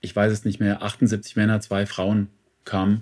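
This man speaks with a fairly low pitch. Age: 50s. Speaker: men's counsellor and author. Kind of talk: interview. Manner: hesitant, many fillers; matter-of-fact.

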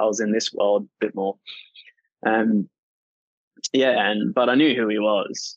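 Speaking with an Australian accent, a man keeps his voice fairly low. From rural northern Australia. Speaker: singer-songwriter. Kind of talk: interview conversation.

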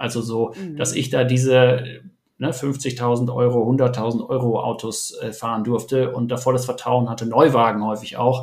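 The voice is somewhat breathy, with monotone, flat intonation at a moderate pace. Audible room echo surrounds it. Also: man, medium pitch for a man. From Germany, Ruhr area. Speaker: startup entrepreneur and investor. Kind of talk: podcast interview. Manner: hesitant, many fillers.

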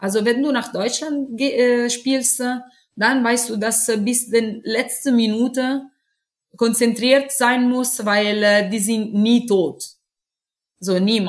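A woman at a very slow pace, with long, frequent pauses and fairly even intonation. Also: fairly high pitch for a woman. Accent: Italian. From Italy. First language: Italian (speaking German). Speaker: professional football goalkeeper. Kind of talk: interview. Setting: video call. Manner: halting.

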